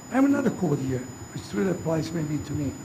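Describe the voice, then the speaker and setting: A man with an Italian accent speaks over noticeable background noise, with audible room echo. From Italy. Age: 70s. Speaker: mayor. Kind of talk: inauguration speech. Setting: ceremony with audience. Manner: halting.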